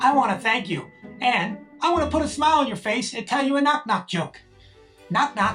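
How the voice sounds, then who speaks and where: Over clear background music, a cartoonish character voice speaks at a fairly high pitch and a moderate pace. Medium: puppet. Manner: nervous, then cheerful.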